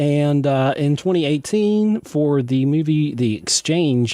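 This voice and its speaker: At a very slow pace, a man speaks with a dark, mellow tone, fairly high pitch, and ordinary pitch variation. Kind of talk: radio interview. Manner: animated.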